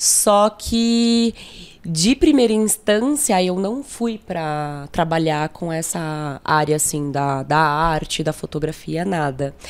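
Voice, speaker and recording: Speaking very slowly, a woman with a fairly low pitch uses lively intonation. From São Paulo, Brazil (south zone, Jardim São Luís). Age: 20s. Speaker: photographer. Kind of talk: casual interview chat. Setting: studio.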